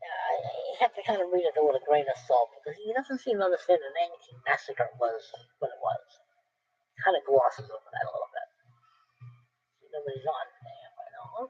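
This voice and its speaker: In an American accent, a man speaks with long, frequent pauses and big swings in loudness, the sound dry and close with no echo. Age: 60s. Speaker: history vlogger. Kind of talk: casual monologue with book blurbs read aloud. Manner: halting.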